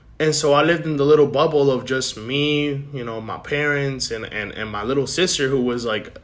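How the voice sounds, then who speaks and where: Over noticeable background noise, a man with a fairly high pitch talks at a fairly quick pace, with fairly even intonation and hardly any pauses. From Puerto Rico, then New Jersey from age eight. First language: Spanish. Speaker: podcast host. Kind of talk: casual monologue, life story. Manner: unscripted, halting with repetitions.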